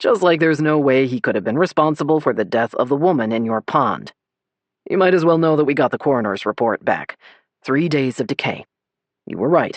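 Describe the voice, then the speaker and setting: In a put-on character voice, a man rumbles at a fairly high pitch, moving at a fairly quick pace with lively intonation. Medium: read story. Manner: curt, grumbling.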